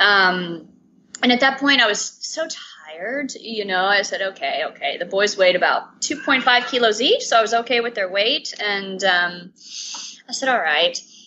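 A speaker with an American accent talks at a moderate pace with lively intonation, over noticeable background noise. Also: woman, fairly high pitch for a woman. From US South, Atlanta. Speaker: stay-at-home mum of twins. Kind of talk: interview.

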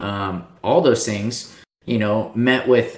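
With an American accent, a man speaks at a fairly low pitch amid audible room echo. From Texas, Austin. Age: 30s. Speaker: pro paintball player. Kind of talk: casual interview.

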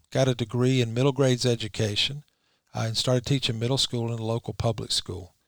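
Speaking at a very fast pace in a Southern US accent, the voice keeps a fairly even intonation on a very clean recording with a silent background. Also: man, medium pitch for a man. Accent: Southern US (Georgia). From US South, Rome, Georgia. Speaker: lawyer. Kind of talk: interview. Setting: studio.

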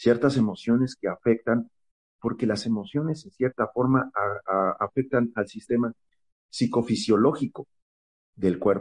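Recorded dry and close with no echo, a man speaks at medium pitch. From Mexico, State of Mexico. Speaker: essential oils expert. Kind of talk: interview. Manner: halting, many fillers.

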